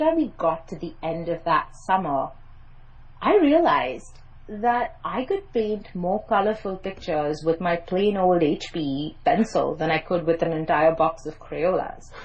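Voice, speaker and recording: A woman with a Mumbai accent talks in a somewhat breathy voice. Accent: Mumbai private English school. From India, Mumbai. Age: 30s. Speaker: PR and media expert, journalist. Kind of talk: podcast interview.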